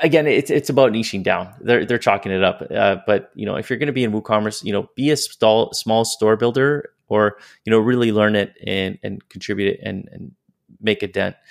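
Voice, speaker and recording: On a very clean recording with a silent background, a man of medium pitch speaks at a fairly quick pace with ordinary pitch variation and a normal speaking voice. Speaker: agency owner. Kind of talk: casual interview chat.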